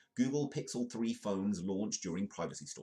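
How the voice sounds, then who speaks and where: With a British accent, a man speaks at a moderate pace in a fairly low pitch, his intonation lively. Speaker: live news comedy show host. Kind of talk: live-stream comedic news commentary. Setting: live stream.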